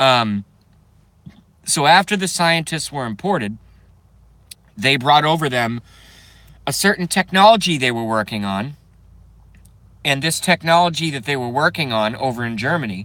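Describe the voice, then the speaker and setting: A man's fairly high voice with an American accent, bright, sharp tone, lively intonation, moderate pace and long, frequent pauses. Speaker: video blogger. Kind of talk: casual monologue rant.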